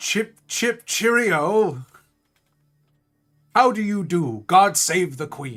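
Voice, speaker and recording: With faint music in the background, a man uses a put-on character voice at high pitch, with very wide pitch swings, a very slow pace and long, frequent pauses. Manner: exaggerated, comic.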